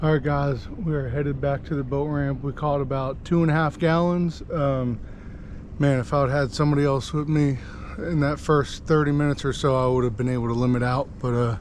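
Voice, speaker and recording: Fairly quick speech from a man with a fairly high pitch, noticeable background noise behind it. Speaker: fishing channel host. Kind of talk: casual outdoor vlog narration. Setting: outdoors at night on a boat. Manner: animated; quiet.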